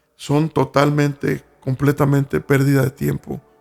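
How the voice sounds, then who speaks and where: A man speaks at a fairly slow pace. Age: 60s. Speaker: pastor. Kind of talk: sermon. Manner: halting.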